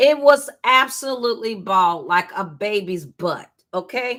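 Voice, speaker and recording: A woman's bright, sharp voice, fairly high in pitch, with very wide pitch swings. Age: 60s. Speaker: hair care and spiritual content creator. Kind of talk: live hair care tutorial. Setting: livestream. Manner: casual, halting.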